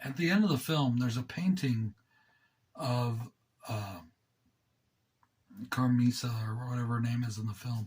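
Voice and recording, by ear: With long, frequent pauses, a man talks at a medium pitch, his slightly mellow tone carrying a slightly husky edge.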